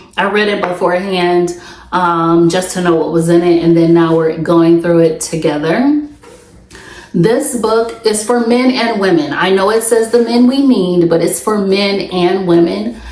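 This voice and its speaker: Against noticeable background noise and audible room echo, a woman speaks at a fairly slow pace. Her medium-pitched voice has lively intonation. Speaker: podcast host. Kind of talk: solo podcast monologue.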